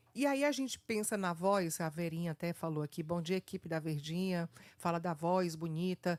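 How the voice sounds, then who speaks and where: A woman's fairly low-pitched, plain, everyday voice, with ordinary pitch variation at a moderate pace in a dry, close sound with no echo. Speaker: radio host. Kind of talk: radio interview.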